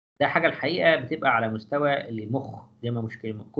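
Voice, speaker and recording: A man's bright, sharp voice at a fairly quick pace, with audible echo from the room. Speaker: physiology professor. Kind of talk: lecture.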